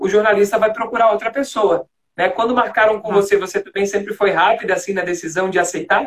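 Fairly even in intonation, a man with a high pitch talks at a very fast pace. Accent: slight Florianópolis. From Greater Florianópolis, Santa Catarina, Brazil. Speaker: communication coach and live stream host. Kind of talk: interview. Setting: Instagram live video call.

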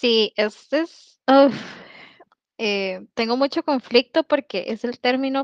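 Recorded with a dry, close sound with no echo and a quiet background, a woman speaks with ordinary pitch variation. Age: 30s. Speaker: polyamory community organizer. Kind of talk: podcast interview.

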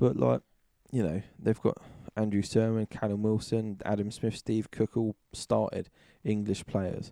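In a British accent, the speaker talks at a fairly slow pace with ordinary pitch variation and a dark, mellow tone, recorded with a dry, close sound with no echo. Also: man, fairly low pitch for a man. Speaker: football podcast host. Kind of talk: casual banter. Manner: chatty, joking.

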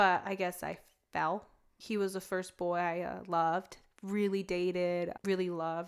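A woman at a fairly slow pace, fairly low in pitch, with monotone, flat intonation. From California, US. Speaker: military spouse sharing faith story. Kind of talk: testimony. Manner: halting.

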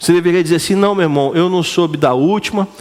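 With a Brazilian accent, a man speaks at a high pitch with ordinary pitch variation, and noticeable background noise sits behind him. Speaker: preacher. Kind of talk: sermon; sermon to a live congregation, call-and-response. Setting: church. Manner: animated, rhetorical questions, colloquial and punchy.

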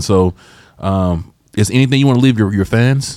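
A man with a fairly low pitch, in a Southern US accent. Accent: Southern, noticeable. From Georgia. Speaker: podcast host. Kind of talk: casual interview.

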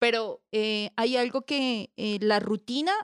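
Recorded very cleanly with a silent background and a dry, close sound with no echo, a woman speaks in a Bogotá accent at a fairly high pitch. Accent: Bogotá Colombian Spanish. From Colombia, Bogotá. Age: 30s. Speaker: homemaker and social worker. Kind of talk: casual interview chat.

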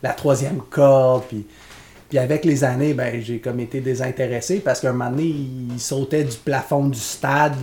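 Breathing somewhat audibly, a man with a Quebec accent speaks at a moderate pace in a dark, mellow tone with fairly even intonation. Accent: Québécois French. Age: 30s. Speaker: podcast co-host. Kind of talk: casual chat.

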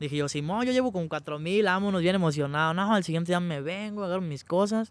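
Recorded very cleanly with a silent background and a dry, close sound with no echo, a man speaks at a moderate pace, high in pitch with ordinary pitch variation. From Mexico, Michoacán (Santa Clara de Valladares). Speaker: rapper. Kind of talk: casual interview chat.

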